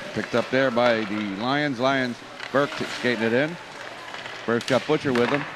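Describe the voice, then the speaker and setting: A man at a moderate pace, dry with no echo, over noticeable background noise. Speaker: local play-by-play announcer. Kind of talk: commentary. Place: stadium.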